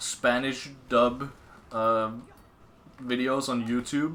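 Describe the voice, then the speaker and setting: Very slowly, a man delivers his words. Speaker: gaming streamer. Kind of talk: casual gaming commentary. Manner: halting, many fillers and repetitions.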